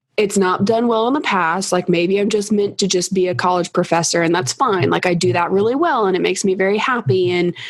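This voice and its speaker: A woman's medium-pitched voice at a fairly quick pace, with hardly any pauses, ordinary pitch variation and very even loudness. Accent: Kentucky. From Kentucky. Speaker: college professor and online course creator. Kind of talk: casual interview chat.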